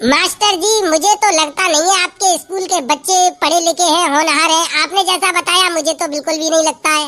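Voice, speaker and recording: Putting on a cartoonish character voice, a woman speaks at an extremely high pitch and a moderate pace. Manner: polite but skeptical.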